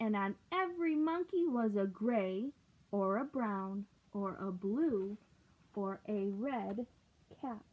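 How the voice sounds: The speech moves at a slow pace with lively intonation. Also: woman.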